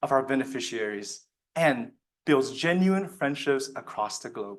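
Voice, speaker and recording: A man speaks with a Chinese accent and lively intonation. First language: Mandarin Chinese. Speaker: student speech contestant. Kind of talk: speech. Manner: formal.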